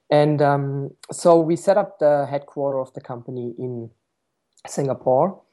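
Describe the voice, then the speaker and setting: A man with a German accent speaks at a fairly slow pace. His voice is fairly high, with a dark, mellow tone and ordinary pitch variation. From Germany, Stuttgart. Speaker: tech startup founder and CEO. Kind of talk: interview.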